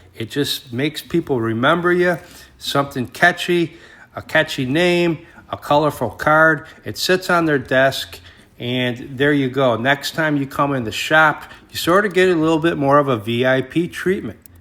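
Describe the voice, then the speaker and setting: A man with an American accent speaks in a normal speaking voice at a moderate pace, his pitch varying in an ordinary way. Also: fairly high pitch for a man. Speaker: record collector vlogger. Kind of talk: casual vlog narration. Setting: record store.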